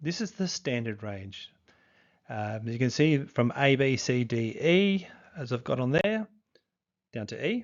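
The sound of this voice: The pace is slow. Pitch makes big swings throughout. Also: man.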